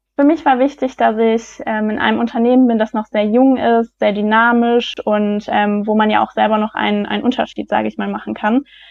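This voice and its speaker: This woman talks at a fairly quick pace with hardly any pauses. Her pitch is fairly high and her intonation fairly even. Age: 20s. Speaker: business graduate. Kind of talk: interview. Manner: hesitant, many fillers.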